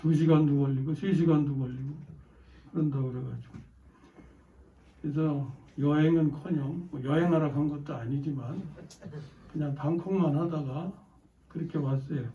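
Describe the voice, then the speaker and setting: With audible room echo, a man at a fairly high pitch speaks with long, frequent pauses. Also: fairly even intonation. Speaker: pastor. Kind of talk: sermon. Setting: church. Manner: slow and clearly enunciated.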